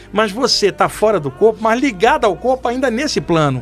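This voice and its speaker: A man speaks while music plays in the background. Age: 60s. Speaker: medium. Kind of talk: podcast interview storytelling. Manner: casual, animated.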